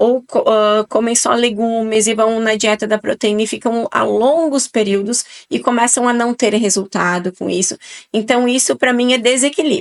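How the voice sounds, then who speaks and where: Fairly even intonation from a woman with a fairly high pitch, at a moderate pace. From southern Brazil, Italian-descended region. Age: 40s. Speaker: nutrition guest expert. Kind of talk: podcast interview.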